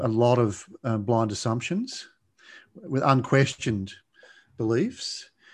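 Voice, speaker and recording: Against a quiet background, a man with an Australian accent talks in a calm tone at medium pitch with ordinary pitch variation. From Australia, Blue Mountains west of Sydney. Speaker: addiction coach and podcast host. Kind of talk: interview conversation.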